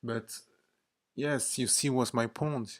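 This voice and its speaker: Very slowly, a man speaks at a medium pitch with fairly even intonation and a non-native accent. The recording is very clean, with a silent background. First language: not English. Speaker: vlogger. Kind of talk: casual monologue. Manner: hesitant, with fillers.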